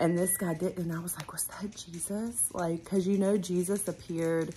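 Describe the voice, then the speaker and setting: A woman's somewhat breathy voice at a moderate pace, over light background noise. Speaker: vlogger. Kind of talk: casual vlog chat. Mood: reflective, enthusiastic. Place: home room. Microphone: phone near.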